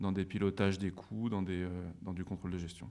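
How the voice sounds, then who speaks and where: This man's moderate pace pairs with a very deep, low pitch. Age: 30s. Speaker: business school alumnus, former store manager. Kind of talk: interview. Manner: hesitant, many fillers.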